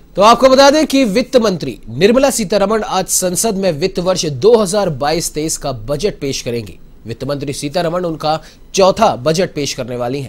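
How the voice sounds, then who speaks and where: Very slowly, a man with a high-pitched voice speaks in very wide pitch swings. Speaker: news anchor. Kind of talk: news reading. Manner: brisk, formal, even newsreader delivery. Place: studio.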